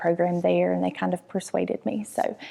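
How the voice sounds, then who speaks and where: An American accent comes through as a woman talks at a fairly quick pace. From North Carolina, Mount Airy. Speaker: nurse practitioner. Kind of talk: TV interview.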